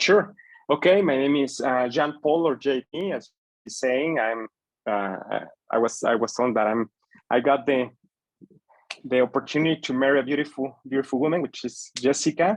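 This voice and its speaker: A man with a Spanish accent and a fairly high pitch speaks at a moderate pace, with ordinary pitch variation and long, frequent pauses. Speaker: small business owner. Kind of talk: webinar presentation.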